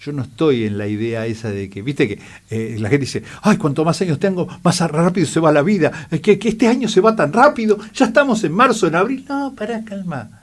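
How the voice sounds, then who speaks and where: A man's fairly high voice at a moderate pace, with very wide pitch swings. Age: 60s. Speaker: eye doctor. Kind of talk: radio interview. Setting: radio studio.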